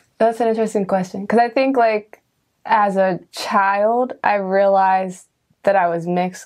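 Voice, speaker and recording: In a quiet background, a woman speaks at a moderate pace with fairly even intonation and an unremarkable speaking voice. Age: 20s. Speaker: production crew member interviewed as guest. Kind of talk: casual interview conversation.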